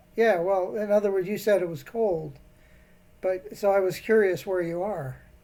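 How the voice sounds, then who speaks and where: A man with an American accent and a dark, mellow tone at a high pitch, moderate pace, fairly even intonation, and long, frequent pauses. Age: 70s. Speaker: scam baiter. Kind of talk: phone conversation.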